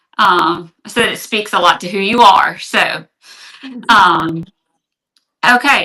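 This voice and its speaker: With a Louisiana accent, a woman speaks very slowly in a bright, sharp tone at medium pitch, with ordinary pitch variation and long, frequent pauses. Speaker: online reseller. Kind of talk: live selling stream. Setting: livestream. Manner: hesitant, many fillers.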